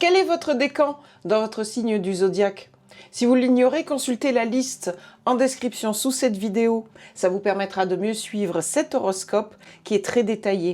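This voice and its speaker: Moderately paced female speech, dark and mellow in tone, with lively intonation. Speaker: professional astrologer. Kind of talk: horoscope forecast to camera.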